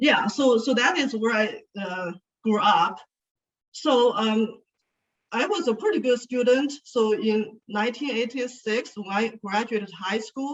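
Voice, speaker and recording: In a Chinese accent, a woman speaks at a fairly slow pace in a fairly high voice with ordinary pitch variation. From China (Sichuan). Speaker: speaker, education consultant. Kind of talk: speech to an audience.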